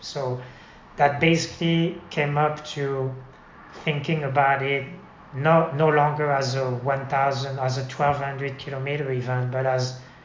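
A man with a fairly high pitch speaks in a flat monotone. Audible room echo and noticeable background noise are present. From France. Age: 50s. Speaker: amateur cyclist. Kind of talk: casual interview. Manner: halting.

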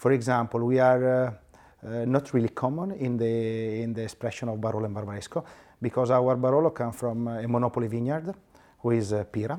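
With an Italian accent, a man speaks at a fairly quick pace in a medium pitch, using ordinary pitch variation and a dark, mellow tone. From Italy, Piedmont. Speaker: winemaker. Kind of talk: casual chat. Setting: restaurant.

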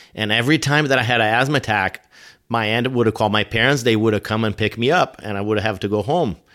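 Very clean recording, silent background, with a man speaking at medium pitch in a Brazilian accent. His pitch varies in an ordinary way. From Brazil (São Paulo). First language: Portuguese. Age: 40s. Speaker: firefighter. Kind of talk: interview. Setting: in-person at host's home. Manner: halting.

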